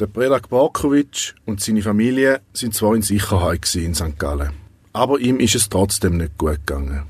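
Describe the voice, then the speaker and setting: A somewhat breathy man's voice, fairly low, with very wide pitch swings at a moderate pace, in a very clean recording with a silent background. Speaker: podcast host and narrator. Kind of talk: scripted narration.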